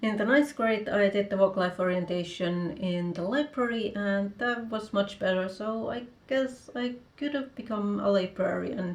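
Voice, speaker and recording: At a fairly slow pace, a woman with a Finnish accent speaks at a medium pitch with ordinary pitch variation. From Finland. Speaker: author and vlogger. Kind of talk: casual vlog talk.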